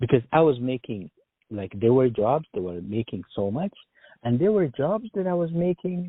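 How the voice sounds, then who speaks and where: Very wide pitch swings from a man speaking at a moderate tempo. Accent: Arabic. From Sudan. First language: Arabic. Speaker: engineer job candidate. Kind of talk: job interview phone call.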